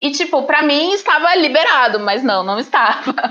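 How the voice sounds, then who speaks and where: Raised, projected speech from a woman, bright and sharp in tone. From Brazil, Paraná. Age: 20s. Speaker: teacher and master's student. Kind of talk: casual chat.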